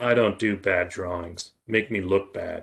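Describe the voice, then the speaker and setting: A man's gruff, put-on character voice, fairly low in pitch, with fairly even intonation and a fairly slow pace. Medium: read story. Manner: gruff, profane.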